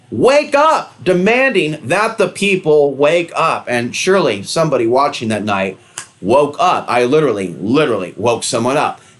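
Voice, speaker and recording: Through noticeable background noise, a man with a fairly high pitch speaks in very wide pitch swings. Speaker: conspiracy and spirituality video host. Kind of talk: monologue to camera. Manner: fast.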